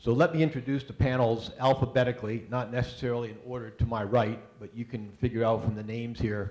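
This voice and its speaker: With a slight Boston accent, a man speaks at a moderate pace in a medium pitch, somewhat breathy and with fairly even intonation. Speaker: panel moderator, university engineering staff. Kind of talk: panel moderation and introductions. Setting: stage with live audience. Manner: hesitant, many fillers.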